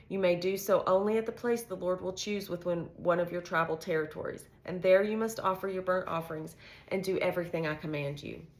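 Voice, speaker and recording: A woman talks at a fairly quick pace with hardly any pauses, at a medium pitch. Her intonation is fairly even, and there is noticeable background noise. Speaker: bible reading channel host. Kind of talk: reading aloud. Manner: halting.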